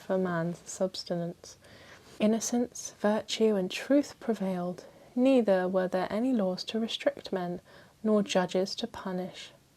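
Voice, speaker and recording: A soft-spoken woman at a moderate pace, with ordinary pitch variation and a dark, mellow tone. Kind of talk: ASMR bedtime history book reading. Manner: softly spoken, calming.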